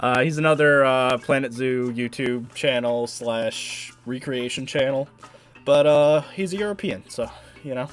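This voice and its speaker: The speech moves at a fairly slow pace with ordinary pitch variation, with music playing in the background. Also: man, medium pitch for a man. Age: 20s. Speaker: gaming streamer. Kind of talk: casual chat. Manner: halting.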